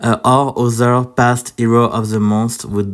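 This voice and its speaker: Intonation stays fairly even as a man talks with a French accent. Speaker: mobile game content creator. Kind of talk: gaming guide video. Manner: halting, many fillers.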